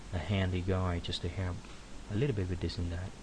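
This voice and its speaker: Amid noticeable background noise and audible room echo, a man with a very deep, low pitch talks at a fairly quick pace. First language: not English. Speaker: 3D animator giving a software tutorial. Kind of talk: screen-recorded tutorial. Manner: halting, many fillers.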